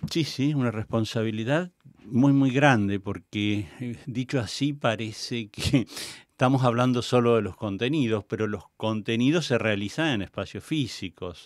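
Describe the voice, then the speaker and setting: A man at a medium pitch and a fairly slow pace, an unremarkable speaking voice with ordinary pitch variation, on a very clean recording with a silent background. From Argentina. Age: 60s. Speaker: theatre director and cultural manager. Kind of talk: interview. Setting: radio studio.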